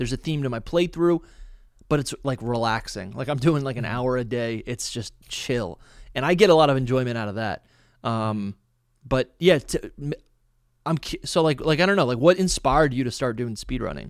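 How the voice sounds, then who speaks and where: At a moderate pace and medium pitch, a man talks with lively intonation and long, frequent pauses, his dry sound free of echo against a quiet background. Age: 30s. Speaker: podcast host. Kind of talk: casual interview chat. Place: home room. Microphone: studio mic.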